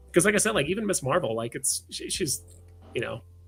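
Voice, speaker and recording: Vocal fry runs through a man's very fast speech. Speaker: streamer co-host of a collectibles livestream. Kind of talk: casual chat. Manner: fast, stumbling over words.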